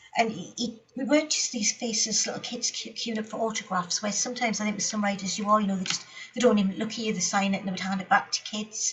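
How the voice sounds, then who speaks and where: A woman with a Geordie accent talks at a very fast pace with hardly any pauses, her fairly high pitch held in fairly even intonation. Noticeable background noise runs underneath. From Newcastle, England. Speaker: speedway writer and novelist. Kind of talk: interview answer.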